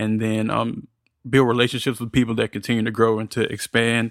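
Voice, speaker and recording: A man with an American accent, very fast and monotone with vocal fry, on a very clean recording with a silent background. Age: 20s. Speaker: podcast editor and producer. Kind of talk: interview.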